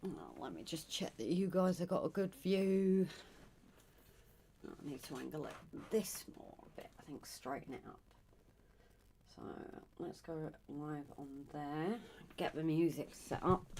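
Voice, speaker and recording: A soft-spoken woman with a very deep, low pitch and a dark, mellow tone talks at a fairly slow pace, using ordinary pitch variation, long and frequent pauses, and big swings in loudness. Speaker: livestreaming artist. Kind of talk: casual livestream chat while drawing. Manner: soft-spoken, talking quietly. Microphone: came across quiet on stream.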